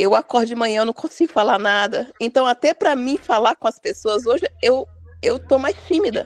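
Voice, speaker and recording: This woman talks at a moderate pace with a high pitch and lively intonation. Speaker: day trader in a group chat. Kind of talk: casual group chat. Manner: shy.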